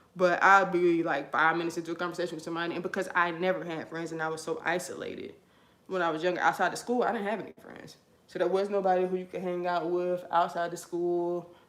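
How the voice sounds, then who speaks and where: A woman's fairly low voice at a very fast clip. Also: big swings in loudness. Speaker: vlogger. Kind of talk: personal testimony while doing hair. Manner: animated.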